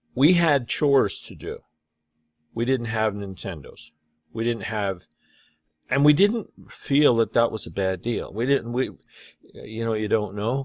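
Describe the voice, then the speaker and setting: A man's medium-pitched voice, moderate in pace, with ordinary pitch variation. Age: 60s. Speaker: online business coach. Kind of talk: casual vlog monologue. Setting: talking to camera. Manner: halting, many fillers.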